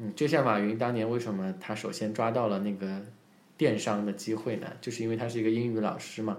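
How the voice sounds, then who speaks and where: Audible room echo surrounds a man speaking at medium pitch and a fairly quick pace with fairly even intonation. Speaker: English teacher and public speaking coach. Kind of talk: casual interview chat.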